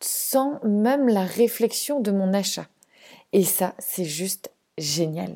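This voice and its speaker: Delivery is very slow, with a dark, mellow tone. The intonation stays lively throughout. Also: woman. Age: 30s. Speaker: podcast host, zero-waste family blogger. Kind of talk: solo podcast monologue.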